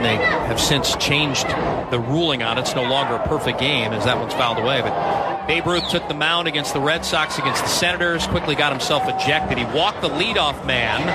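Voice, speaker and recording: Over noticeable background noise, a man with a fairly high voice talks at a fairly quick pace with hardly any pauses. His loudness stays very even and his pitch varies in an ordinary way. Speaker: baseball radio play-by-play announcer. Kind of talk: live baseball radio play-by-play commentary.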